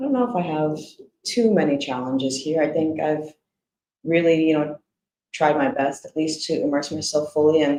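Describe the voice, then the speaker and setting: Woman with an American accent, very deep, low pitch, ordinary pitch variation, moderate pace and long, frequent pauses. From United States. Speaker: Vietnamese-American expat interviewee. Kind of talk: interview conversation. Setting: live stream.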